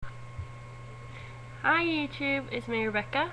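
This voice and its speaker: Audible room echo accompanies a woman speaking with a Swedish accent. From Sweden. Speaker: vlogger. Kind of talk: casual vlog. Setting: webcam recording.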